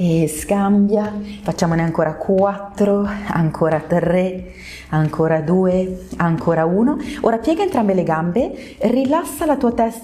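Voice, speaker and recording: A woman talks at a fairly slow pace with very wide pitch swings. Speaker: pilates instructor. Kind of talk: exercise class instruction. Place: empty room.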